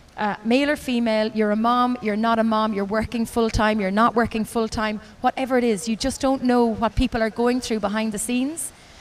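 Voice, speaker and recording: Using fairly even intonation, a woman with an Irish accent talks at a fairly quick pace and a fairly high pitch. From Ireland. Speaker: race announcer. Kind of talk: interview answer.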